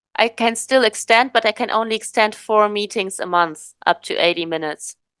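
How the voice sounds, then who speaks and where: With a German accent, a woman speaks at a fairly high pitch against a quiet background. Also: ordinary pitch variation, fairly quick pace. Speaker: podcast host. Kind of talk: casual chat. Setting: video call. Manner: halting.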